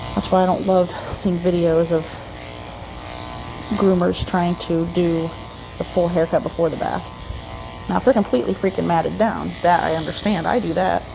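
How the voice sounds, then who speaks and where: Against noticeable background noise, a soft-spoken voice moves at a moderate pace with long, frequent pauses. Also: woman. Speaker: dog groomer. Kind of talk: casual narration while grooming. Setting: grooming salon, others in next room.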